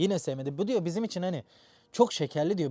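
Dry and close with no echo, a man talks at a very fast pace. His pitch is high and his tone dark and mellow. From Turkey. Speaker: YouTuber, software engineer. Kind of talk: vlog monologue.

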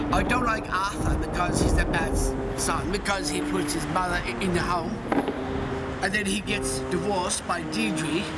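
A man speaking at a moderate pace with music in the background. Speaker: interviewee. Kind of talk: interview answer. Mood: enthusiastic, opinionated.

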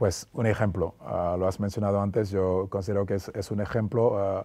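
A man's fairly low voice, dark and mellow in tone, with monotone, flat intonation. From Senegal. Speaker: former basketball player; interview guest. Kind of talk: interview. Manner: hesitant with fillers. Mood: calm, reflective, friendly. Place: studio. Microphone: lapel.

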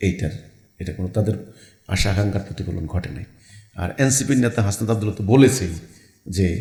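A man talks with a dark, mellow tone at a fairly low pitch. His voice is somewhat breathy, with ordinary pitch variation. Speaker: religious movement leader. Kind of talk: interview. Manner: halting.

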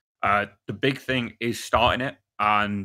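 A man's fairly low voice, bright and sharp in tone, with fairly even intonation

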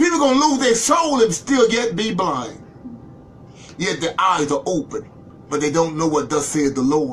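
A man with a high-pitched voice talks in an animated tone at a moderate pace. His pitch swings very widely, and there is noticeable background noise. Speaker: Bible class preacher. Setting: live online video stream.

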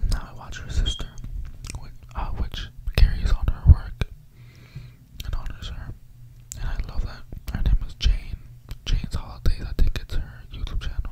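Over loud background noise, a man talks at a moderate pace with long, frequent pauses. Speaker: ASMR creator. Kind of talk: casual storytelling chat. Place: home room. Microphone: studio mic.

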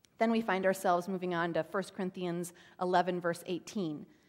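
A fairly slow pace against a quiet background. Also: woman. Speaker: pastor. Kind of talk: sermon. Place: church.

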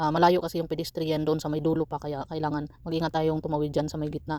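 A woman's very deep, low voice with a dark, mellow tone at a very fast pace. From Philippines. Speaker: vlogger, migrant factory worker. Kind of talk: casual vlog narration. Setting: outdoors. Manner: soft-spoken.

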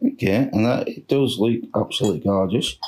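A man's hoarse, put-on character voice, medium in pitch, at a fairly quick pace. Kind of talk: casual vlog chat. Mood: pleased, admiring the food.

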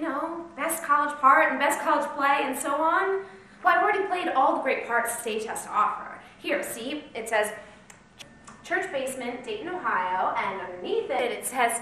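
The voice is raised and projected, moving at a moderate pace with very wide pitch swings, with audible room echo and light background noise. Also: woman. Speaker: actor playing an auditioning hopeful. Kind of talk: acted scene, pleading monologue. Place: stage. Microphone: camera far.

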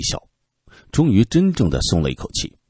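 The man's tone is dark and mellow. His voice sounds dry and close, with no echo. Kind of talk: literary audiobook narration. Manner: dramatic, expressive, shifting from calm narration to tense, rhetorical questioning; steady measured pacing, tone turns grave in suspenseful passages.

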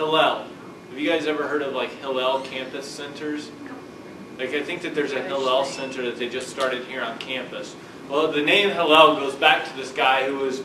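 Noticeable background noise sits behind a man's voice. He talks at a fairly quick pace. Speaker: lecturer. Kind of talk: lecture. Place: classroom. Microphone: camera far.

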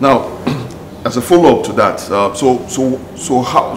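The speech moves at a moderate pace with lively intonation, and noticeable background noise can be heard. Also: man. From Nigeria. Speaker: TV talk show host. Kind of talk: interview. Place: office.

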